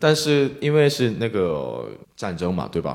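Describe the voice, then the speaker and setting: With a Korean accent, a man speaks fairly slowly, his pitch swinging very widely. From South Korea, Busan. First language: Korean (speaking Chinese). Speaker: Korean student in China. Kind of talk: live panel discussion.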